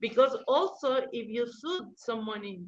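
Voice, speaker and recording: With a Spanish accent, the speaker's pitch varies in an ordinary way. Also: woman. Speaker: lawyer. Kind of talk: interview. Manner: halting.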